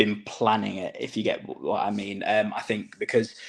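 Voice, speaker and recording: Vocal fry and very wide pitch swings run through a man's speech at a fairly slow pace. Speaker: wrestling ring announcer. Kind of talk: interview answer.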